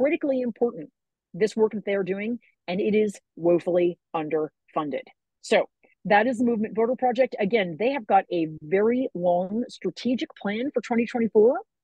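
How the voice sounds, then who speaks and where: The voice is animated and somewhat breathy, with lively intonation. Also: woman, fairly high pitch for a woman. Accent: American. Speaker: political activist giving a talk. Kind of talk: presentation talk. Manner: fast.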